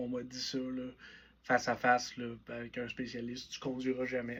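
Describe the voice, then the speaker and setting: A man at medium pitch with a Quebec accent. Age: 20s. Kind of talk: personal vlog monologue. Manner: casual, conversational.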